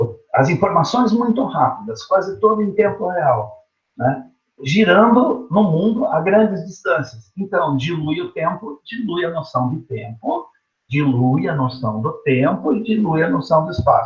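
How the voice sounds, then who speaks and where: A man's high voice swings very widely in pitch as he talks at a fairly slow pace. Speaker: teacher. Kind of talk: online lecture. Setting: teaching from home online. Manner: casual, conversational.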